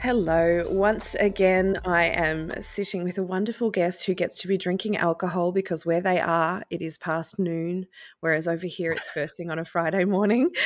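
Speaking with an ordinary speaking voice, a woman with a fairly low pitch keeps a moderate pace and hardly any pauses, on a very clean recording with a silent background. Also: fairly even intonation. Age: 40s. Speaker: podcast host. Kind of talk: interview.

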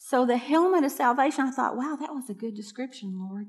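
A woman speaks in a high pitch with lively intonation against a quiet background. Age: 60s. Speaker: pastor. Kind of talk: sermon.

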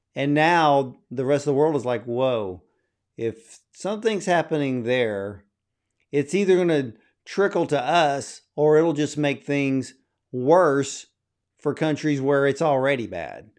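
Speaking at a fairly slow pace, a man uses a plain, everyday voice, fairly high in pitch with ordinary pitch variation. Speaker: film interview host. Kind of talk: interview.

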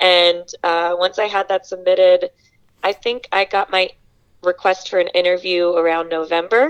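A woman with an unremarkable speaking voice talks at a medium pitch and a moderate pace, her intonation fairly even. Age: 20s. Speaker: former volunteer. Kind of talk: interview.

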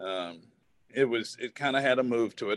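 Ordinary pitch variation and a moderate pace in an American accent, with a dry, close sound and no echo. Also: man. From US South (Southwest Virginia). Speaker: former professional baseball player. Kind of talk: casual interview.

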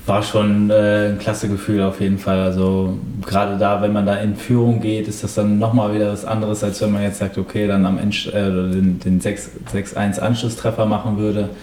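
Over noticeable background noise and audible room echo, a man speaks in a fairly low, monotone, flat voice at a moderate pace with hardly any pauses. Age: 20s. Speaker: professional footballer. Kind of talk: interview.

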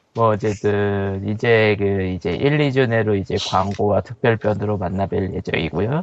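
A man's fairly low pitch and a normal speaking voice, with ordinary pitch variation, a fairly slow pace and hardly any pauses. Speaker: podcast co-host. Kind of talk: casual chat.

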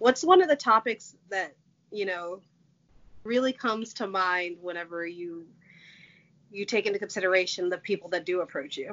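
The woman talks at medium pitch and a moderate pace. Long pauses come often. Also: ordinary pitch variation. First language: Portuguese. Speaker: podcast host. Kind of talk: casual chat.

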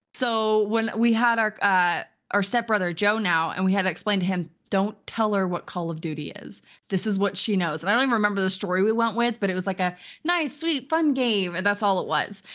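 A woman speaks at a fairly quick pace with a medium pitch and ordinary pitch variation, in an ordinary speaking voice. The recording is very clean, with a silent background. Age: 20s. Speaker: gamer and streamer. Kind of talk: casual chat. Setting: live stream.

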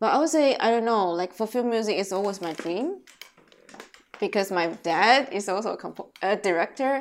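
A woman's fairly high voice with a Taiwanese accent, lively intonation and a moderate pace. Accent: Taiwanese Mandarin accent in English. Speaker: film composer and cellist. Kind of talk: casual chat.

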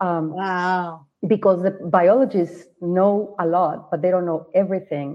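The speaker talks in a Spanish accent with fairly even intonation. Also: woman. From Mexico, Guadalajara. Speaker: novelist and literature professor. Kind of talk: interview. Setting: video call.

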